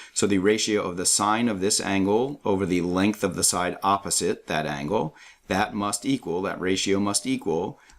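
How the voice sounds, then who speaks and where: In a very clean recording with a silent background, a man with an unremarkable speaking voice talks at a fairly slow pace, with a fairly low pitch and ordinary pitch variation. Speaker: math tutor. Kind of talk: tutorial.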